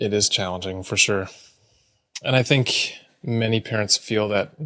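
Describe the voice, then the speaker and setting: At a fairly slow pace, a man speaks with a fairly low pitch and ordinary pitch variation. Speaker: podcast co-host, parent. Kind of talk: casual podcast chat.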